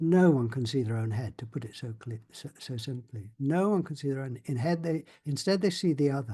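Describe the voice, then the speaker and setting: A man with a dark, mellow, somewhat breathy voice of fairly high pitch talks at a fairly quick pace, with lively intonation and hardly any pauses. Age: 70s. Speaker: spiritual workshop leader. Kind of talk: experiential talk to a group. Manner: halting.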